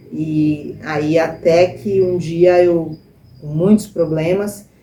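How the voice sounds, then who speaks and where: A woman speaks at a fairly low pitch. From Brazil, São Paulo state (Baixada Santista from age 7). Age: 60s. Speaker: church member giving testimony, nursing technician. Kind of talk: testimony. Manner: hesitant, many fillers.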